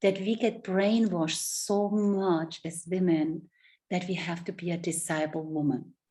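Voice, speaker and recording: A woman's fairly low voice with fairly even intonation, in a German accent. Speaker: love and relationship coach. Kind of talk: interview.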